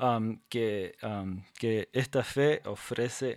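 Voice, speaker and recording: The very clean recording, with a silent background and a dry, close sound with no echo, captures a medium-pitched man speaking with ordinary pitch variation. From Paraguayan Chaco, Mennonite of North American descent. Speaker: podcast co-host. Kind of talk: casual chat. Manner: halting, many repetitions and fillers.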